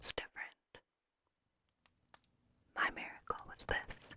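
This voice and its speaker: A woman whispers in a breathy voice. She goes at a fairly slow pace with long, frequent pauses. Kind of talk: novel reading. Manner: whispered.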